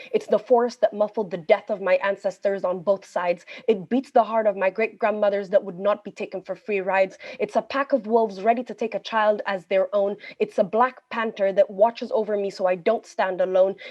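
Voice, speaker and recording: A woman speaks with an Ethiopian accent at a fairly quick pace. Her intonation is fairly even. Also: medium pitch for a woman. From Ethiopia, Addis Ababa. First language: Amharic. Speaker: poet and journalist. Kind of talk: poetry performance. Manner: forceful, defiant delivery.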